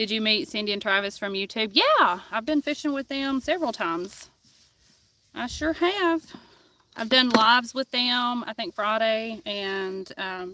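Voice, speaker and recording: A woman with a Tennessee accent talks at a fairly slow pace. Her pitch is fairly high and her intonation lively. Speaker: fishing streamer. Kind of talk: live stream chat. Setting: outdoors on a kayak on a river.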